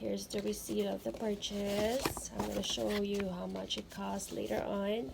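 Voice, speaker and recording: Background noise is clearly noticeable here. Over it, a woman talks. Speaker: handbag collector and unboxing vlogger. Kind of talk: casual unboxing talk to camera. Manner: casual, hesitant with fillers.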